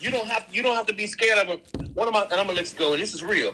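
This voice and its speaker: This man talks very fast while noticeable background noise goes on around him. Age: 60s. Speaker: schoolteacher and coach. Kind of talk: live stream call-in chat.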